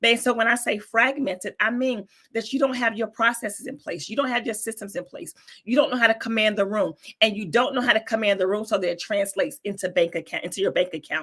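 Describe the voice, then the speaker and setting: With a Southern US accent, a woman speaks at a very fast pace in a fairly high pitch, using ordinary pitch variation and a bright, sharp, animated tone. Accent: Southern US accent, less thick than before. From North Carolina, US South. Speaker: business coach. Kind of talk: interview.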